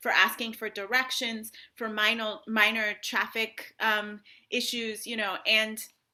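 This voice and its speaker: A woman with an American accent speaks in a fairly high pitch with a bright, sharp tone. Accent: sounds very American. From international upbringing in Africa and Europe (Ghana, Tanzania, Italy, Ethiopia, Uganda). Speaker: author. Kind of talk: author talk and Q&A. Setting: library event with audience Q&A.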